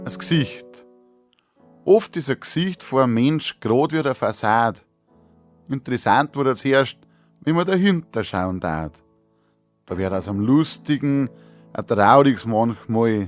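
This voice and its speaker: Over music in the background, a man at a medium pitch speaks fairly slowly, with very wide pitch swings and long, frequent pauses. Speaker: dialect poet. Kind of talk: poetry reading.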